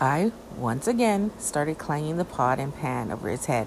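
A woman speaks with a very deep, low pitch at a moderate pace. Her pitch makes very wide swings. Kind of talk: true-crime horror narration, reading a creepypasta aloud. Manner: slightly halting, reading aloud with small stumbles and self-corrections.

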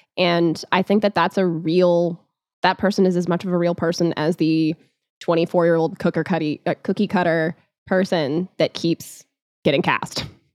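Speaking at a moderate pace, a woman uses a fairly low pitch and a monotone, flat intonation. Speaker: podcast producer and co-host. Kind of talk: casual chat.

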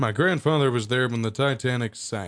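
A man with a Southern US accent speaks at a fairly quick pace, his medium pitch rising and falling in an ordinary way. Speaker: podcast host. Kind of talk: casual chat, dad-joke contest. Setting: radio station studio.

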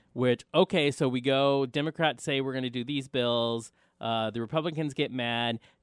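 A man speaks in a plain, everyday voice with an American accent. His medium pitch, moderate pace and fairly even intonation hold throughout. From US South. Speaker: radio host. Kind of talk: casual chat. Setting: studio.

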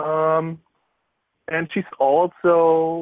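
This is a man talking in a German accent. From Bavaria, Germany (near Bamberg). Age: 20s. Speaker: football player. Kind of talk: interview. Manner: halting, with frequent fillers.

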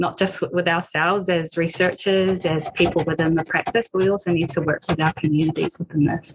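This woman has a New Zealand accent and a fairly low pitch. She talks at a moderate pace with fairly even intonation. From New Zealand, Māori. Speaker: PhD researcher in audiology. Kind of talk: panel discussion. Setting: video call from home.

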